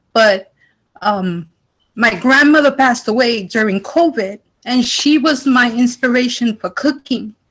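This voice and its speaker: With a New York accent, a woman speaks at a fairly slow pace. Her pitch is fairly high, with ordinary pitch variation. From New York, the Bronx. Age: 40s. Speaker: culinary student. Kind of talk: emotional testimony.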